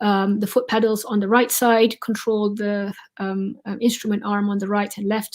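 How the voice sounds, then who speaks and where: The speaker is somewhat breathy, at a moderate pace. Intonation stays fairly even. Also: woman. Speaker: surgeon. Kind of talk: lecture. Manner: halting, many fillers.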